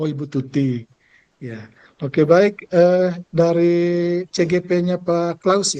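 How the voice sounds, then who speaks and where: This man's voice has a dark, mellow tone and a high pitch, with ordinary pitch variation. He speaks at a very slow pace. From Indonesia, East Manggarai, Flores. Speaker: school principal and teacher-training facilitator. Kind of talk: online training session facilitation. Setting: video call.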